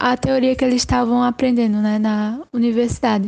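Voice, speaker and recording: A woman's high voice with a dark, mellow tone at a moderate pace. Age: 20s. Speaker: university student. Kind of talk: casual interview.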